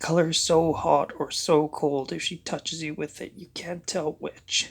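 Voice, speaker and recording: A man puts on a character voice, high-pitched and raspy. He speaks at a moderate pace with big swings in loudness. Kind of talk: amateur audiobook reading. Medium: read story. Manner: measured, tense storytelling.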